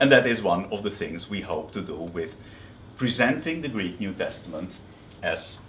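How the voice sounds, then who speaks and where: A man speaks at a fairly slow pace with very wide pitch swings. There is audible room echo. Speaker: biblical scholar. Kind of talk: lecture. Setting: seminary workshop. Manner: hesitant, with fillers and repetitions.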